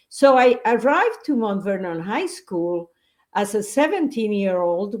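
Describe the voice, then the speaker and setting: Speaking with a Spanish accent, a woman with a fairly high pitch talks at a fairly slow pace, her pitch swinging very widely, in a very clean recording with a silent background. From Bolivia. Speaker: educator. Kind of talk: interview.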